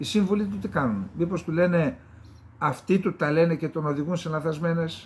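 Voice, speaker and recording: This man's voice sits high. It rises and falls in a lively way. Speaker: geopolitical commentator. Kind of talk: solo political commentary show. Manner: conversational, with fillers.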